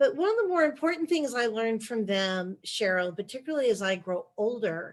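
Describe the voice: A woman talks at a fairly quick pace, her fairly high pitch rising and falling with lively intonation.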